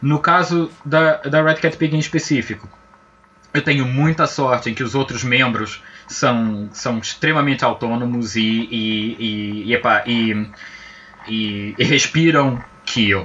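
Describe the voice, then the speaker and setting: Over noticeable background noise, a man with a strong Azorean accent talks very slowly at a medium pitch. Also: ordinary pitch variation. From Azores and Brazil. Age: 40s. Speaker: game studio project manager. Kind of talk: casual interview chat.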